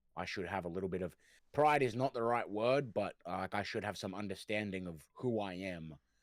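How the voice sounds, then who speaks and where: The voice carries a slight Australian accent. The recording is very clean with a silent background and a dry, close sound with no echo. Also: man. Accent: mild Australian. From Australia, raised in the city. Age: 20s. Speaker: rapper and music producer. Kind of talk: casual chat.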